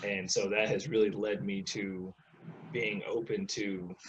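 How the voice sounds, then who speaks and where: This man has an American accent and a fairly low pitch. His pitch variation is ordinary. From Central Texas / US South, military family. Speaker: relationship coach for men and women. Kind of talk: interview. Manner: halting, repeats words.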